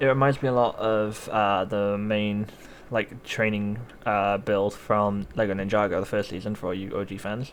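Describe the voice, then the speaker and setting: Using an ordinary speaking voice, a man talks at a moderate pace with a fairly low pitch and fairly even intonation. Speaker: gaming YouTuber. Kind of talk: gameplay commentary.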